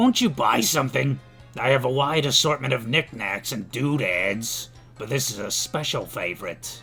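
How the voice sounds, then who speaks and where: Over clear music in the background, a man puts on a raspy character voice at medium pitch and a moderate pace. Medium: virtual streamer. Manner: coaxing, sly.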